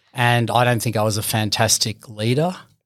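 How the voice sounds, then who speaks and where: A man speaks in an Australian accent. His pace is moderate and his intonation fairly even. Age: 40s. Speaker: business owner. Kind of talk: interview. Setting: studio.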